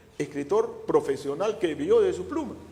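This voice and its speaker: A man talks at a moderate pace with very wide pitch swings. There is noticeable background noise. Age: 70s. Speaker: historian. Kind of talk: interview. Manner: halting.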